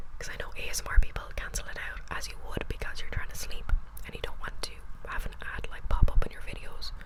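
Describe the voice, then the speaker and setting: The speech moves at a fairly quick pace. Noticeable background noise can be heard behind it. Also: woman. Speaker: ASMR creator. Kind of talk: whispered ASMR ramble about books. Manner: whispered, chatty.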